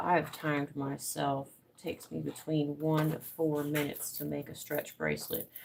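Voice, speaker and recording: The speaker has a relaxed tone and an American accent. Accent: Southern US, thickening. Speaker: crafter live streamer. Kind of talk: casual craft live stream. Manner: relaxed, rambling.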